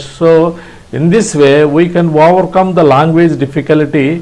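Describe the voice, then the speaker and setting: This man talks at a moderate pace with an Indian accent. His voice is pitched high. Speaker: ham radio instructor. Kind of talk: tutorial. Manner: halting.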